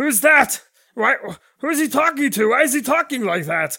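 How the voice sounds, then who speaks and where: A put-on character voice moves at a moderate pace with a high pitch. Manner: puzzled, suspicious.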